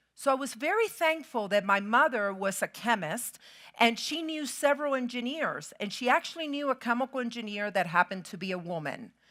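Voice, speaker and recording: A high-pitched woman's voice in a Spanish accent, bright and sharp in tone, at a fairly quick pace with very wide pitch swings, on a very clean recording with a silent background. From Puerto Rico. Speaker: keynote speaker, chemical engineer. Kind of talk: motivational keynote speech. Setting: stage with audience.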